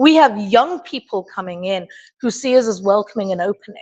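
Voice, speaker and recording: A woman with an English accent, fairly high in pitch with very wide swings, at a moderate pace, the sound dry and close with no echo over a quiet background. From England. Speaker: open forum participant, historical reenactment society member. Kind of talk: open forum discussion.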